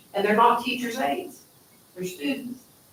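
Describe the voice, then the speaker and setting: A high-pitched woman's voice with lively intonation and audible room echo. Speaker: school board member. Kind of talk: public meeting discussion. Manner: fast.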